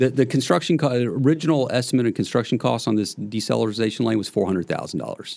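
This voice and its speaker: On a very clean recording with a silent background, a man with an American accent talks at a very fast pace with hardly any pauses, his medium pitch showing ordinary variation and vocal fry. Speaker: real estate investor. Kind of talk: casual chat.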